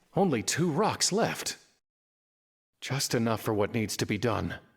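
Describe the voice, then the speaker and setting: Using a put-on character voice at a medium pitch, a man swings very widely in pitch while keeping his loudness very even, at a moderate pace on a very clean recording with a silent background. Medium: video game. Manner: weary, gloomy.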